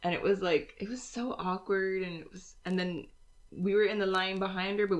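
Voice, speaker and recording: Heard here is a normal speaking voice, moving at a fairly quick pace with fairly even intonation. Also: woman. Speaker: podcast co-host. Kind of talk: casual chat.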